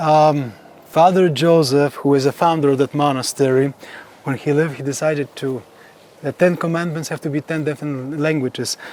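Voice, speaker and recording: Speaking at a fairly quick pace with a Polish accent, a man uses a fairly high pitch and fairly even intonation. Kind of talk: guided tour. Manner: halting.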